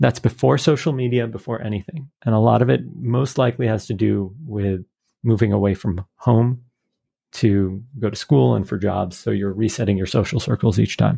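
Dark and mellow in tone, a man speaks at a fairly low pitch with lively intonation. He is somewhat breathy and keeps a moderate pace. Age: 40s. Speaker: networking dinner host. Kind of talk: interview.

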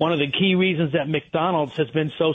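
A man with an ordinary speaking voice, fairly high pitch, ordinary pitch variation and a fairly quick pace. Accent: American. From Connecticut, Fairfield County. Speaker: restaurant owner. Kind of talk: radio interview.

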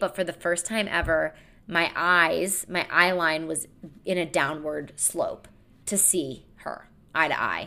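Loud and animated, a woman with a fairly low pitch and a bright, sharp tone comes through in a very clean recording with a silent background. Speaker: comedian and podcast host. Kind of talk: solo monologue podcast.

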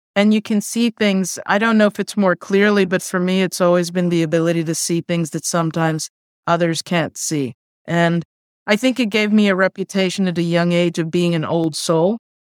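A woman's fairly low pitch at a fairly quick pace with fairly even intonation, in a dry, close sound with no echo and a very clean recording with a silent background. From New York City (Queens). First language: Spanish. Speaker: tech diversity executive. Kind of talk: interview.

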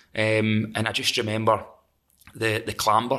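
A man speaks with a Scottish accent at a moderate pace. His tone is bright and sharp. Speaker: metal singer and songwriter. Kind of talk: casual chat.

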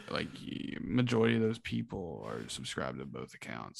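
A man with vocal fry speaks at a moderate pace, his pitch swinging very widely. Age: young. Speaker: college student, guest. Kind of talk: casual chat.

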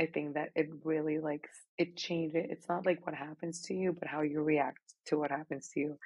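A woman with a Spanish accent speaks at a very deep, low pitch. Her pace is moderate and her intonation is monotone and flat. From Mexico, Monterrey. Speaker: marathon runner and architecture graduate. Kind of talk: casual chat.

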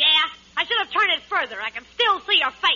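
A woman's put-on character voice, extremely high in pitch, bright and sharp in tone, with big pitch swings and a fairly quick pace

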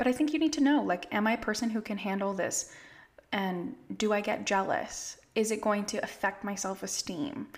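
A woman with a fairly high, somewhat breathy voice and an American accent. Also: ordinary pitch variation, moderate pace. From California. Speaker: family therapist. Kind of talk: casual interview chat. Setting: video call.

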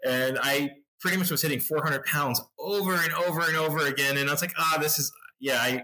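Moderate pace from a man with a plain, everyday voice, his pitch fairly high. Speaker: hiker and YouTuber. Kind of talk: casual interview.

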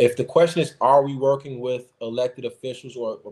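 Speaking at a moderate pace, a man with an American accent and medium pitch has a plain, everyday voice. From US Midwest (Chicago). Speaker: religious community organizer and advocate. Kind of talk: interview on a call-in podcast.

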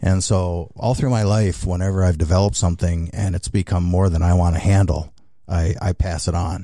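A man speaks with a very deep, low pitch at a fairly quick pace. His intonation stays fairly even and his loudness very even. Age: 60s. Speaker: racing series founder. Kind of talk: interview. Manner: halting.

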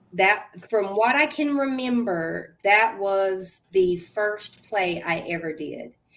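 With an American accent, a woman speaks at medium pitch with lively intonation, very slowly and with hardly any pauses. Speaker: guest, actress. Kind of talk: casual interview conversation.

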